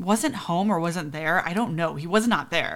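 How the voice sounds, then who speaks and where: With a plain, everyday voice, a woman speaks at a fairly quick pace and a fairly low pitch, showing ordinary pitch variation in a very clean recording with a silent background. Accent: American. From US Midwest, south suburbs of Chicago. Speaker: podcast host, nanny. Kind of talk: casual storytelling monologue.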